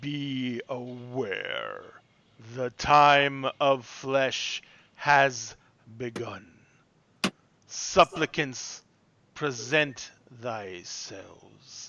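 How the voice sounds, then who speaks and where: Using a put-on character voice with a menacing tone, a man speaks at a very slow pace and medium pitch, with long, frequent pauses. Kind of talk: archaic, ceremonial. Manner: commanding, menacing.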